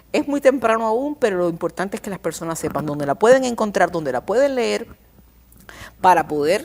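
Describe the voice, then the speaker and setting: A woman's medium-pitched voice at a fairly quick pace, full of very wide pitch swings. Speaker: communication scholar. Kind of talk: TV interview. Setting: TV studio. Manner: fast.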